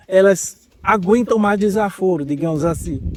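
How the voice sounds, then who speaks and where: Pitch shifts in an ordinary way for this man. His pace is very slow. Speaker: university professor. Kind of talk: lecture.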